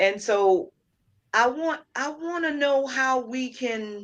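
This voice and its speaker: A woman's voice with very wide pitch swings. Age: 50s. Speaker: interviewer and editor. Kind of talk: interview.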